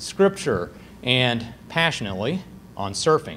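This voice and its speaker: Light background noise behind a man going at a moderate pace. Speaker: host introducing the lecturer. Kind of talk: formal speaker introduction. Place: hall.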